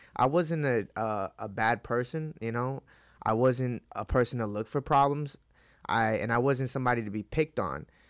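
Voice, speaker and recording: Here a man uses an ordinary speaking voice at a medium pitch, with ordinary pitch variation and a moderate pace. The sound is dry and close with no echo, on a very clean recording with a silent background. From upstate New York (Hudson Valley), born in Mexico. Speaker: MMA fighter. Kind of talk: casual interview chat. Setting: in-person studio interview.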